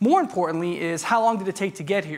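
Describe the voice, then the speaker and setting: A man speaks loudly. He has a New York accent. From US Northeast, New York. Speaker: tech industry speaker. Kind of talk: conference talk. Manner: fast.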